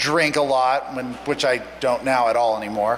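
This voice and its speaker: A man's voice amid noticeable background noise. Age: 40s. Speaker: conference panelist, first-time attendee. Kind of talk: panel introduction. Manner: animated.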